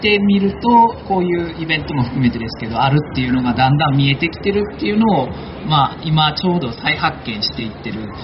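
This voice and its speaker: Over noticeable background noise, a man with a fairly high voice speaks at a fairly quick pace with lively intonation. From Kansai, Japan (Akashi, Hyogo). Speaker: environmental aid worker and community activist. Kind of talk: panel talk at a live event.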